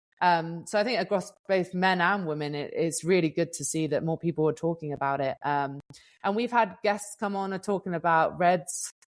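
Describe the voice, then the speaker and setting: With a British accent and a fairly low pitch, a woman talks at a moderate pace in a very clean recording with a silent background. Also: ordinary pitch variation. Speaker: professional gravel racer and podcast co-host. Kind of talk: podcast interview. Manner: casual, chatty with fillers.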